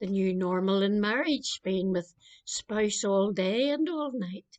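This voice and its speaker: A woman speaks at a very slow pace in a Northern Irish accent. Her medium-pitched voice shows ordinary pitch variation, with a dry, close sound and no echo. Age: 70s. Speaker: clergy member. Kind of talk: spoken meditation.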